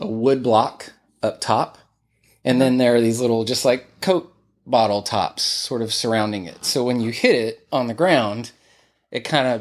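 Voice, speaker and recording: Fairly slow, with a Texas accent, a man speaks at a medium pitch with ordinary pitch variation. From Texas, Greenville. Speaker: musician and studio owner. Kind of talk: interview. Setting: his home music room.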